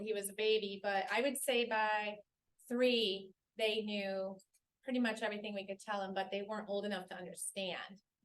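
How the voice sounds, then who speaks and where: An unremarkable speaking voice from a woman, fairly high in pitch, at a moderate pace with fairly even intonation. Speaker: author. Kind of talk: Q&A at a club luncheon. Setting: luncheon meeting with audience.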